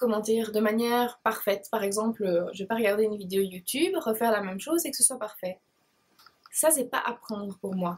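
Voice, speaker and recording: A woman speaks at a moderate pace with a fairly high pitch. Her pitch varies an ordinary amount. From Belgium, Liège province. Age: 20s. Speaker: beauty blogger. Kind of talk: casual Q&A vlog. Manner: hesitant, many fillers.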